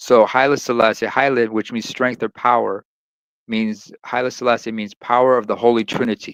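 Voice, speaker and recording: A man with an Eritrean accent speaks at a moderate pace and medium pitch, his intonation monotone and flat. The sound is dry and close with no echo, over a quiet background. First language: Tigrinya. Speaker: live stream host. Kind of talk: casual chat.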